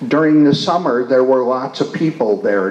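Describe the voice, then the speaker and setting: A man at medium pitch with a Midwestern US accent, amid noticeable background noise and audible room echo. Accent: US Midwest. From Michigan, Detroit. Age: 60s. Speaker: retired priest and community leader. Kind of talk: interview. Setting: stage with audience. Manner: halting.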